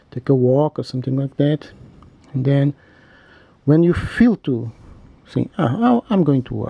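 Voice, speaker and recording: A man with a non-native accent and a fairly high pitch, dark, mellow, somewhat breathy, lively in intonation, fairly slow with long, frequent pauses, in a dry, close sound with no echo. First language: not English. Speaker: macrame instructor. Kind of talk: tutorial. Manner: halting; casual.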